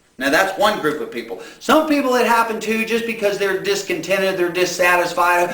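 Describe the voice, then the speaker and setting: Noticeable background noise and audible room echo surround a man's raised, projected voice. His pitch is high for a man, and his pace is fairly quick. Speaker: preacher. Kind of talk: sermon.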